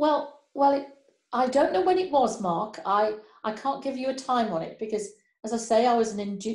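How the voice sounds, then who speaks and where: A somewhat breathy voice at a fairly quick pace, with ordinary pitch variation. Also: woman. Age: 60s. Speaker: pastor. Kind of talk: testimony. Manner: halting.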